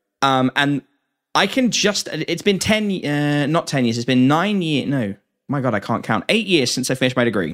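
A man with an English accent speaks at a moderate pace, fairly high in pitch with very wide pitch swings. The recording is very clean and silent behind him, dry and close with no echo. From England. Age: 20s. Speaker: podcast host. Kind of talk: casual interview chat.

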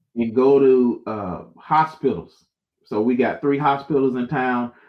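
A man with an American accent and an ordinary speaking voice, medium in pitch, at a fairly slow pace. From Florida (Jacksonville). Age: young. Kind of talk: casual interview chat. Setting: live-streamed show.

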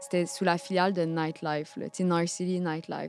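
A woman speaks with a Quebec accent at a moderate pace, her pitch fairly low. Her intonation stays fairly even, with music in the background. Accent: Québécois French. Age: 20s. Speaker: journalist. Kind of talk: interview testimony.

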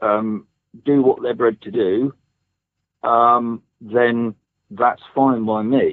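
A man talks at a very slow pace. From England, East Anglia. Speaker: bow hunter and rural surveyor. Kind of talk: interview conversation. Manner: hesitant, many ums.

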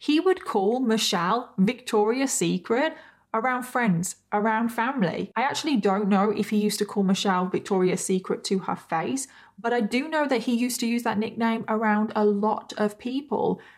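The speaker talks at a moderate pace with very even loudness and ordinary pitch variation in a very clean recording with a silent background. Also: woman, fairly high pitch for a woman. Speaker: true crime podcaster. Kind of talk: true-crime narration, solo storytelling. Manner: dramatic, gravely measured storytelling; conversational asides with exclamations of disgust.

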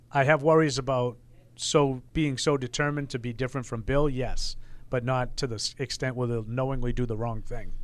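With a normal speaking voice, a man of medium pitch talks at a fairly quick pace with fairly even intonation on a very clean recording with a silent background. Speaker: sports radio co-host. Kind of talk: casual sports talk.

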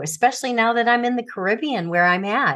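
A woman with an ordinary speaking voice talks at a fairly high pitch with lively intonation. The background is quiet. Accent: American. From US Midwest, Chicago suburbs. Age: 60s. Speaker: author and former teacher. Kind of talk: interview about personal trauma.

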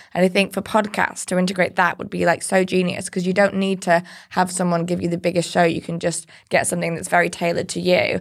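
A woman's fairly low-pitched, monotone voice with flat intonation and vocal fry, very fast pace, and a very clean recording with a silent background. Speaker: podcast co-host. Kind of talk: casual interview conversation. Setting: studio.

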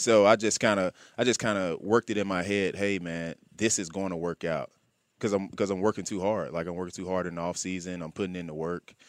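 In an Alabama accent, a man with a very deep, low pitch talks at a very fast pace with fairly even intonation, on a very clean recording with a silent background and a dry, close sound with no echo. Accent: Southern US (Alabama). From US South, Birmingham, Alabama. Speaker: pro football player. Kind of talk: interview. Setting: studio.

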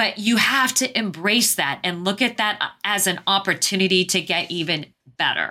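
Using an American accent, a woman with a medium pitch and a bright, sharp tone talks at a moderate pace with ordinary pitch variation. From Arizona, US. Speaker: polar explorer and leadership speaker. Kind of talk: interview conversation.

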